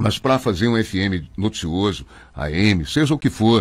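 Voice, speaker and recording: Animated in tone, a man talks with vocal fry. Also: very clean recording, silent background. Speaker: radio announcer. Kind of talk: interview. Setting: studio. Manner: fast.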